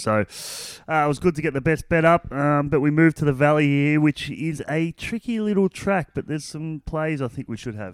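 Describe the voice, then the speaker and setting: With an Australian accent, a man speaks at a fairly quick pace and fairly high pitch. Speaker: racing analyst. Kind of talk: casual chat.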